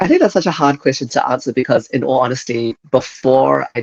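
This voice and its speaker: Recorded dry and close with no echo, a man with a New Zealand accent speaks at a fairly quick pace. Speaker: user experience designer. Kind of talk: interview. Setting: podcast.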